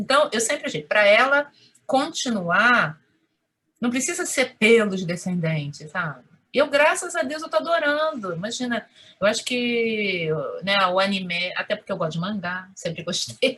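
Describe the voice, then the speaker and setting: A woman with a Rio de Janeiro accent and a fairly high pitch speaks at a moderate pace with very wide pitch swings. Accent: Carioca Brazilian Portuguese. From Rio de Janeiro, Madureira suburb. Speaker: Japanese consulate employee. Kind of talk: interview answer.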